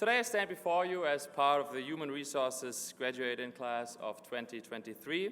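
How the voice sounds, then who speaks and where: A man with a slight German accent speaks in a fairly high pitch and a bright, sharp tone, with lively intonation at a moderate pace. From Germany. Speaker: graduate student speaker. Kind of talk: commencement speech. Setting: graduation ceremony in a gym with audience.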